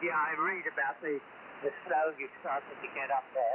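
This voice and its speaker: Noticeable background noise surrounds a man who has an American accent and a fairly high pitch, with his pitch moving in an ordinary way. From England, Cambridge. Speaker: radio amateur. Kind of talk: casual chat. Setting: radio contact.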